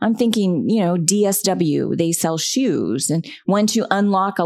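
A plain, everyday voice comes through on a very clean recording with a silent background. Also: woman. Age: 50s. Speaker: podcast host, communications consultant. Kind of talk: solo podcast talk.

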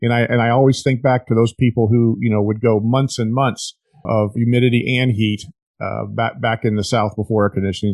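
A normal speaking voice with fairly even intonation and a fairly quick pace, in a dry, close sound with no echo. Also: man. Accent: American. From Florida. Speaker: podcast host. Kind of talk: casual chat.

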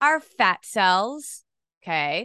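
A woman's bright, sharp tone comes through with a dry, close sound, no echo, and a quiet background. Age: 40s. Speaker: nutrition coach and podcast host. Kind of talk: solo podcast talk. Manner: casual, conversational.

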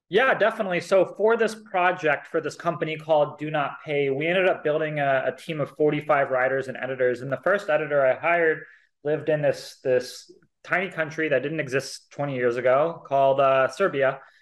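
This man has an ordinary speaking voice, fairly high in pitch, and an American accent. He speaks at a fairly quick pace with ordinary pitch variation. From US, Seattle area. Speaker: tech entrepreneur. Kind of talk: casual interview.

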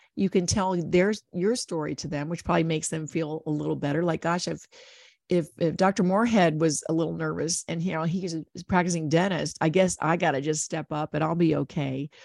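A woman with an American accent and vocal fry at a fairly low pitch, fairly quick pace, on a very clean recording with a silent background. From Ohio. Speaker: podcast host. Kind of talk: interview. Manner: animated.

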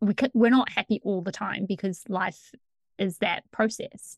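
With a normal speaking voice at a medium pitch, a woman talks at a fairly slow pace with ordinary pitch variation in a dry, close sound with no echo. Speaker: podcast host and coach. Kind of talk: interview, casual chat.

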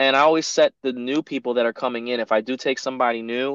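Against a quiet background, a man with an American accent speaks at a moderate pace, the sound dry and close with no echo. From northern New Jersey (Teaneck). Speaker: barber educator, Navy veteran. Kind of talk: casual interview.

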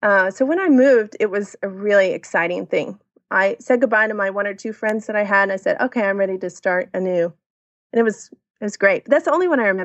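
A woman talks very fast in an American accent. Her pitch is medium, with ordinary variation. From Texas, Dallas and New Braunfels. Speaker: expat mother. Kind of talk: casual interview.

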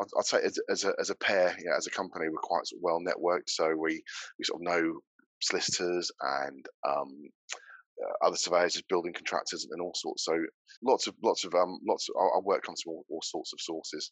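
He speaks with a Norfolk accent. The man keeps a fairly quick pace. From Norfolk, England. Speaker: building surveyor and business owner. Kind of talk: casual interview chat.

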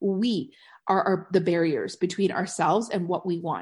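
Against a quiet background, a woman speaks at a moderate pace. Her medium-pitched voice has an animated tone. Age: 40s. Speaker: podcast host and network marketing coach. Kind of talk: casual solo podcast monologue.

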